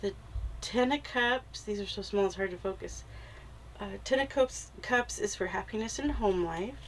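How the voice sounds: This woman has a nasal voice at medium pitch, speaking at a moderate pace with ordinary pitch variation.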